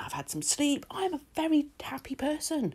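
A woman with a British accent at a fairly slow pace. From UK. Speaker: nail art content creator. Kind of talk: tutorial voiceover. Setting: home recording. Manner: chatty. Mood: relaxed and cheerful.

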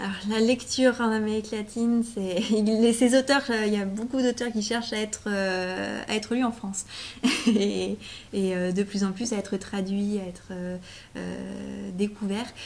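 A woman's voice has vocal fry and a slightly mellow tone. She speaks fairly slowly with fairly even intonation. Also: medium pitch for a woman.

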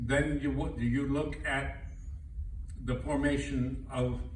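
Audible room echo and light background noise surround the man who is talking. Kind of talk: speech. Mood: solemn, reflective. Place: hall. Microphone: camera far.

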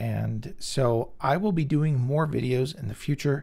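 Speaking at a fairly slow pace, a man with an American accent has a medium pitch and a somewhat breathy sound. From US West Coast, Bay Area California. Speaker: health video creator. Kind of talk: personal testimony monologue.

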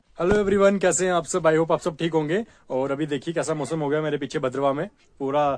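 A man talks fairly quickly, his pitch varying in an ordinary way, against a quiet background. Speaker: vlogger. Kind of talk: casual vlog chat. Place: open country. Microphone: phone near.

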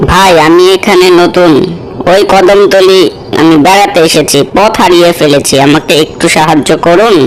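A cartoonish character voice at a middle pitch speaks at a fairly slow pace over clear background noise. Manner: shifts from sweet to menacing.

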